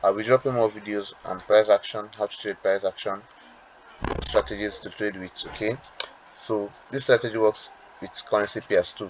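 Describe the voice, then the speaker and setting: Over noticeable background noise, a man with a fairly low pitch speaks in monotone, flat intonation, with big swings in loudness. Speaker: trading educator. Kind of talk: tutorial. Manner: fast; hesitant, with fillers and repetitions.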